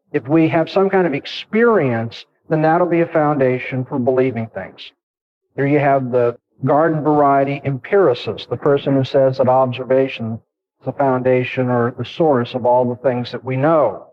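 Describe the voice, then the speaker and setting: Medium pitch and ordinary pitch variation in a man's speech. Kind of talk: lecture. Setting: campus lecture hall with audience. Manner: fast.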